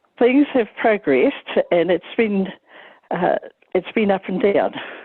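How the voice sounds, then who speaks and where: The speaker has a New Zealand accent and lively intonation. The pace is fairly slow. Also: woman. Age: 80s+. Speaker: retired nurse union advocate. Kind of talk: panel reflection. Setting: conference panel.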